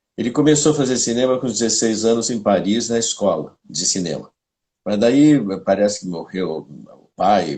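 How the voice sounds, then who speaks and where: This man's voice has a dark, mellow tone and medium pitch. He speaks at a moderate pace with lively intonation. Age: 70s. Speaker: playwright and filmmaker. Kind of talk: casual chat. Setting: live stream.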